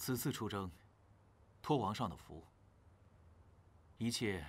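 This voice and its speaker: This man's pitch is fairly low. He speaks at a fairly slow pace. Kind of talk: scripted drama dialogue, formal report. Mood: respectful, calm, formal. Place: hall.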